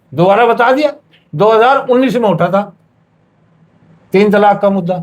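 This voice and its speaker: A man with a high pitch speaks at a very even loudness. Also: ordinary pitch variation. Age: 60s. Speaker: interviewee on religious issue. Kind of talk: heated debate. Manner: animated.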